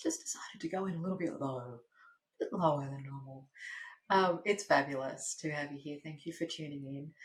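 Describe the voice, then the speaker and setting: A woman with an Australian accent talks at a fairly quick pace in a very deep, low pitch, somewhat breathy, with ordinary pitch variation and big swings in loudness. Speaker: podcast host, speaking coach. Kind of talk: podcast monologue. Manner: lower pitch than usual; enthusiastic.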